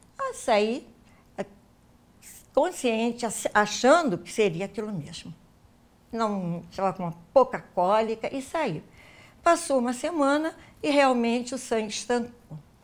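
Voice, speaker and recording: Woman at a fairly slow pace, with big swings in loudness, very wide pitch swings, and long, frequent pauses. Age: 70s. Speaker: interviewee telling her abortion story. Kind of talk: testimony. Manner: halting, with repetitions and self-corrections.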